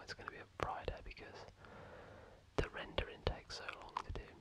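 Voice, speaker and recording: Whispering in a British accent, the speaker keeps a relaxed tone and a fairly quick pace over noticeable background noise. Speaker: FIFA ASMR content creator. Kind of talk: casual talk to camera, gaming commentary. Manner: whispered, relaxed.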